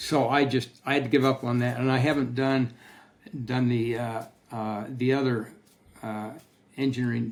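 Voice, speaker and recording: A man speaks at a moderate pace with medium pitch. His intonation is monotone and flat. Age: 80s+. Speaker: textbook author and materials science educator. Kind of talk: podcast interview with slide talk. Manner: halting, with many fillers and repetitions.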